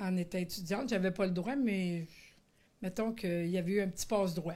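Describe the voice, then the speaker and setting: At a moderate pace, a woman speaks in a dark, mellow tone at a medium pitch, with fairly even intonation and very even loudness. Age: 60s. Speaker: retired special educator. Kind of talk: testimony. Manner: halting, many hesitations.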